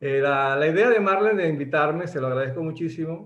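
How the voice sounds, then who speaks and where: This man sounds somewhat breathy. His intonation is lively. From Venezuela. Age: 60s. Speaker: doctor and network marketer. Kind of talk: motivational talk. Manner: halting, many repetitions.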